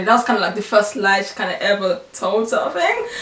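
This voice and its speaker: Over noticeable background noise, a woman speaks at a very fast pace in a fairly high pitch. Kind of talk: testimony storytelling to camera. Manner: fast when excited.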